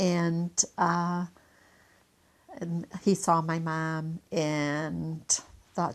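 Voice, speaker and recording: This woman has a Midwestern American accent. Her voice is fairly low in pitch, with fairly even intonation. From Elkhart, Indiana, Italian neighborhood. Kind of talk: interview answer.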